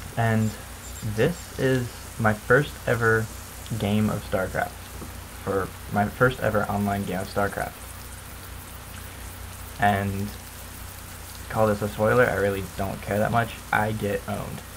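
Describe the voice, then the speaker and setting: Amid noticeable background noise, a man speaks in a fairly low pitch with monotone, flat intonation, at a fairly slow pace with long, frequent pauses. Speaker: gamer. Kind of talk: gameplay commentary. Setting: computer microphone. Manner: casual, self-deprecating.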